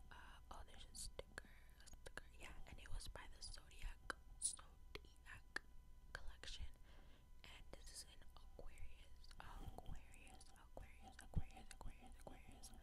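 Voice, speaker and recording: A woman whispers at a moderate pace with long, frequent pauses over loud background noise. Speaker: ASMR creator. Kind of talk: ASMR makeup application with repeated trigger words. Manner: whispered. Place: home room. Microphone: lapel.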